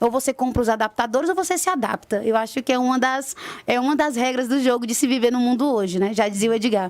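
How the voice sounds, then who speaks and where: A woman with a Ceará accent speaks at a very fast pace in a high pitch. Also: ordinary pitch variation. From Ceará, Brazil. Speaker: stage actress. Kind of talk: radio interview.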